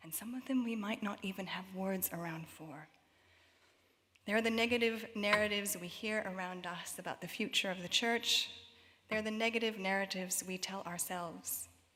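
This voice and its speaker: A woman with a Canadian accent speaks at a medium pitch in a bright, sharp tone, with fairly even intonation and big swings in loudness. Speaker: worship leader. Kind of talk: reflective prayer address. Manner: slow.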